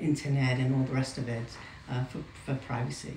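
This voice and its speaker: A woman with an American accent speaks with fairly even intonation. The recording carries audible room echo and noticeable background noise. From New York. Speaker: interviewee, community member. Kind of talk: interview. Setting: in France at regional event. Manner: halting, many fillers and repeats.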